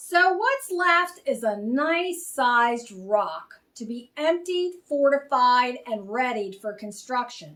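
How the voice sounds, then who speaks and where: Putting on a gruff character voice, a woman speaks at a fairly slow pace with hardly any pauses, her high pitch making very wide swings. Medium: read story.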